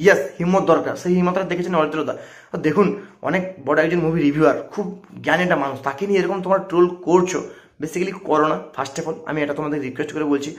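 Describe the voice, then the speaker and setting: Against a quiet background, a man talks with a fairly high pitch. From West Bengal, Digha area near Odisha; West Bengal. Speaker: movie reviewer YouTuber; YouTube movie reviewer. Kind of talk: vlog rant to camera; casual vlog rant in Bengali. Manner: animated, emphatic. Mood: defensive, argumentative. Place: home room. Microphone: lapel.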